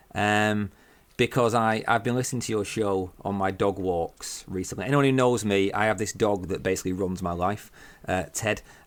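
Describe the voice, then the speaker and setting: A man's fairly low voice in a northern English accent, with fairly even intonation, on a very clean recording with a silent background. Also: moderate pace. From northern England. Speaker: horror podcaster and writer. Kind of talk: casual chat.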